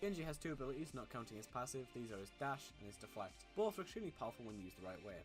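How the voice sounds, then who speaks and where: A man with a medium pitch talks at a very fast pace, his voice making very wide pitch swings. Music plays in the background. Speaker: gaming streamer. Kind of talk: scripted game tutorial narration. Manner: some stuttering.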